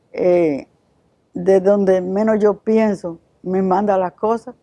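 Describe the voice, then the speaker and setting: With a Dominican accent, a woman speaks at a medium pitch in a dark, mellow tone. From Dominican Republic, Santiago. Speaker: missionary. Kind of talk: testimony. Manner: halting.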